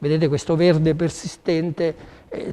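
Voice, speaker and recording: At a fairly slow pace, a man with a fairly high pitch speaks over noticeable background noise. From Sicily. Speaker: chef. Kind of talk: cooking demonstration. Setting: studio.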